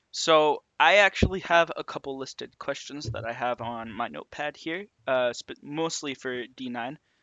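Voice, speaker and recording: A man in an ordinary speaking voice talks at a moderate pace with hardly any pauses, ordinary pitch variation and big swings in loudness. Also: fairly high pitch for a man. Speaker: podcast host. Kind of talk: casual chat.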